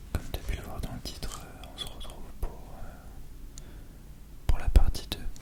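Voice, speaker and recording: Whispering fairly slowly, a man's loudness swings widely over noticeable background noise. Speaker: ASMR creator. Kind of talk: casual talk to viewer. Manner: whispered.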